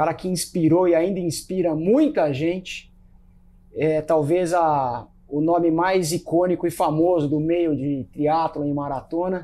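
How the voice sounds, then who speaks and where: A man talks with a dark, mellow tone and high pitch. His intonation stays fairly even. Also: fairly slow pace. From Brazil. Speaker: podcast host and runner; podcast host. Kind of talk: casual chat. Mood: relaxed, friendly. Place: home room. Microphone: lapel.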